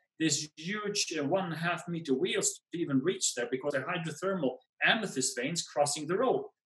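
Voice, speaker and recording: A man in a Swedish accent at a fairly quick pace, with ordinary pitch variation. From Sweden. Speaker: pegmatite expert and field collector; guest. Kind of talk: storytelling interview. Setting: video call. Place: home room. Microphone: webcam.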